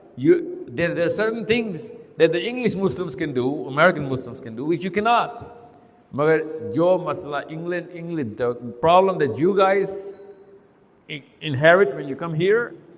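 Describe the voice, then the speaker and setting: With an animated tone and lively intonation, a high-pitched man talks at a moderate pace, his loudness swinging widely amid noticeable background noise and audible room echo. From Pakistan. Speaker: Islamic speaker. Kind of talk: live talk with audience Q&A. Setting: stage with audience.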